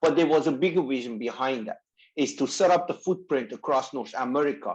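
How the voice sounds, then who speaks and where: Speaking at a fairly quick pace in a Persian accent, a man uses a fairly high pitch with ordinary pitch variation. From Iran. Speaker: company founder. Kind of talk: interview.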